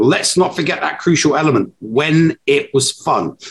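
The voice carries a Cockney accent and is somewhat breathy. It moves at a very slow pace. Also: man. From England. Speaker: podcast co-host. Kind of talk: casual chat. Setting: live stream recording.

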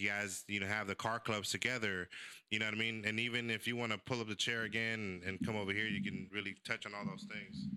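Talking at a very fast pace, a man uses a fairly low-pitched voice with a bright, sharp tone. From San Francisco, born in El Salvador. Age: 40s. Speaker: podcast host. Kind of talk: casual chat. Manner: animated.

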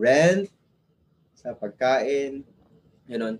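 A man speaks in a Filipino accent at a fairly high pitch. His pace is very slow. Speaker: entrepreneur, former IT engineer. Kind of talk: casual chat, testimony.

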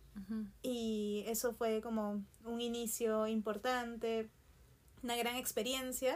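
A woman's fairly high-pitched voice at a very slow pace, in a monotone with flat intonation. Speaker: artist, printmaker. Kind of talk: casual chat.

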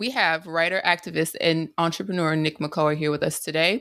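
In a very clean recording with a silent background, a woman speaks at a moderate pace in a plain, everyday voice with fairly low pitch. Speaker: podcast co-host. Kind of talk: casual chat.

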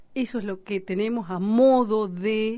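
This woman's voice has a dark, mellow tone, a medium pitch, and fairly even intonation. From Argentina, Bariloche (Patagonia). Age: 40s. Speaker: singer, writer and Mapuche activist. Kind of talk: radio interview.

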